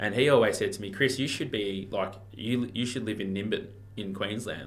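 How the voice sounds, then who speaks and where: A fairly quick, fairly low man's voice in a strong Australian accent, with fairly even intonation and audible room echo. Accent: strong broad Australian (Ocker). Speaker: real estate auctioneer and marketer. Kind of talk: casual podcast interview. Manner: casual, laid-back.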